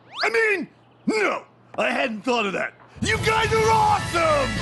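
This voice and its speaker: A man's shouting, cartoonish character voice at a moderate pace, with music in the background. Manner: loud, excitable.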